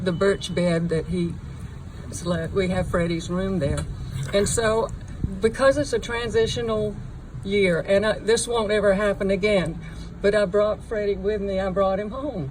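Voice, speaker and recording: A woman's medium-pitched voice at a fairly slow pace, with ordinary pitch variation and noticeable background noise. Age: 70s. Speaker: bereaved mother. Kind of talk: memorial speech. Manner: halting.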